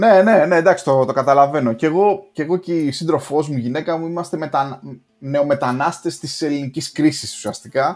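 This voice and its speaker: A man in an ordinary speaking voice talks at a moderate pace, his pitch fairly high and his pitch variation ordinary. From Greece. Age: 40s. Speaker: software developer and podcaster. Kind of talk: casual chat. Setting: online call.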